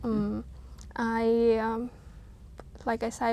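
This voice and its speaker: A woman with a fairly high pitch speaks with a Vietnamese accent. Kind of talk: interview answer.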